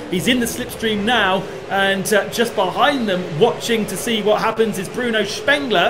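A man talks in a high pitch with ordinary pitch variation at a moderate pace, noticeable background noise behind him. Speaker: motorsport commentator. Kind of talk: sports commentary.

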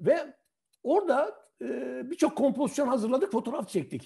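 A man speaks at a fairly quick pace in a dark, mellow tone. The background is quiet. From Hatay, southern Turkey. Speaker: retired journalist and photographer; retired journalist. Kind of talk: online talk and interview. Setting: video call. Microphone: video call.

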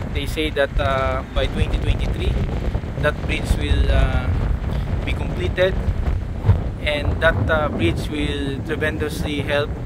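A man at a fairly slow pace with long, frequent pauses, over loud background noise. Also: dry sound with no echo. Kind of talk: casual travel vlog narration. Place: boat. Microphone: phone near.

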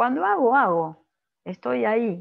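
A woman is speaking. The background is quiet. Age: 50s. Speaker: physician and coach; coach presenter. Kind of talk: lecture. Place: home room. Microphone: webcam.

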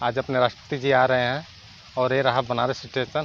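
A man at a fairly slow pace, with music in the background and a dry sound with no echo. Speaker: travel vlogger. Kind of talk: casual vlog chat. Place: street. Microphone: phone near.

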